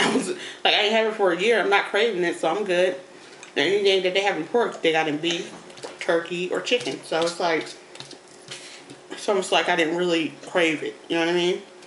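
A woman's fairly quick speech with fairly even intonation, audible room echo, and light background noise. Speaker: mother vlogger. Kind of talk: casual mukbang chat. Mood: relaxed, chatty. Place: home room. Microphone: phone near.

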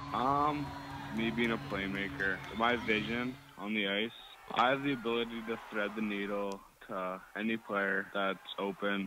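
Over clear background music, a man with a fairly low voice talks at a fairly slow pace in a dry sound with no echo. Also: ordinary pitch variation. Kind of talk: interview answer.

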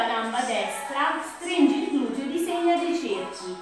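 Clear music plays behind a woman who speaks at a fairly slow pace in a room with strong echo. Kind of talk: exercise class instruction. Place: home room. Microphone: camera far.

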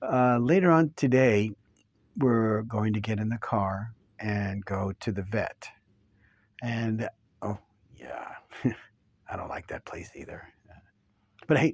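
Against a quiet background and a dry sound with no echo, a man talks at a very slow pace, with long, frequent pauses and big swings in loudness. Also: ordinary pitch variation. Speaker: actor playing a dog owner. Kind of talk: acted emotional monologue. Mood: gentle, sad, hesitant. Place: studio.

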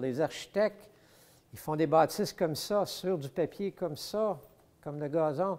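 Speaking with a Quebec accent, a man talks at a fairly slow pace. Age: 70s. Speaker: model train collector. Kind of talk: casual interview, showing his collection. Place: hall. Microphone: lapel.

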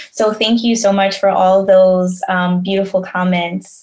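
A woman's medium-pitched voice with a New York accent. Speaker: creative agency founder. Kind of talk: casual chat.

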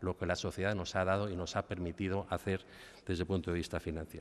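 A man with a very deep, low pitch talks at a fairly quick pace with fairly even intonation. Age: middle-aged. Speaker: bank executive; guest. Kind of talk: formal speech. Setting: university auditorium with audience. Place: hall. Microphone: podium.

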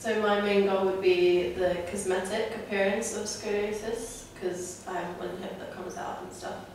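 Strong room echo and light background noise surround a woman at medium pitch. She talks at a moderate pace with fairly even intonation. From Lithuania. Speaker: patient being interviewed. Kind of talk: interview answer. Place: office.

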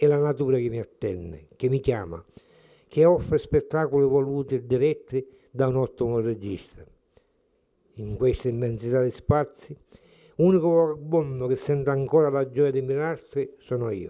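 Against a quiet background, a man with a dark, mellow tone and ordinary pitch variation speaks with long, frequent pauses. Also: moderate pace. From Sicily (Collesano, Palermo province); Sicily. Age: 80s+. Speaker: poet, retired teacher. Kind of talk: poetry reading. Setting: at the guest's home. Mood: calm, reflective, tender. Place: kitchen. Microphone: handheld.

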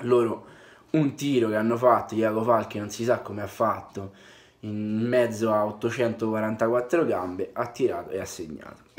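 Soft-spoken and medium in pitch, a man talks at a moderate pace with ordinary pitch variation over light background noise. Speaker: football fan vlogger. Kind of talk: casual vlog commentary. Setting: away from home, indoors. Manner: quiet, speaking softly. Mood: content but wry after draw. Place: home room. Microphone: webcam.

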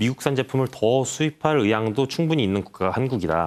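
Here a man with an unremarkable speaking voice talks at a fairly quick pace with lively intonation. The recording is very clean against a silent background. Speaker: newspaper reporter. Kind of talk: interview.

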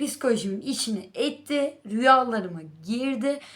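In an animated tone, a woman speaks at a high pitch. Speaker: book vlogger. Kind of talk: casual monologue to camera. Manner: halting with many fillers.

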